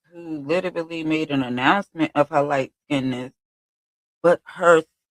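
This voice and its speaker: A woman's animated voice with a Brooklyn accent at a moderate pace, dry and close with no echo. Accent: New York (Brooklyn). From Brooklyn, New York. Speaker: streamer. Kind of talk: casual livestream monologue.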